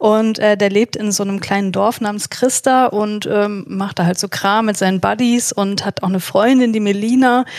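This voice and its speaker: A woman at a moderate pace, medium in pitch, with fairly even intonation and an ordinary speaking voice. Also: hardly any pauses. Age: 30s. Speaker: psychologist and podcaster. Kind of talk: casual discussion.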